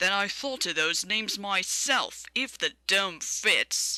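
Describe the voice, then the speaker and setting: Growling at a middle pitch, this put-on character voice unfolds at a fairly slow pace. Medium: read story. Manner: polite, dry.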